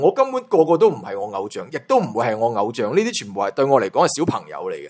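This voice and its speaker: Speaking at a very fast pace, a man has a fairly high pitch. Vocal fry runs through his voice. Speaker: entertainment gossip YouTuber. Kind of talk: casual commentary monologue. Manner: animated.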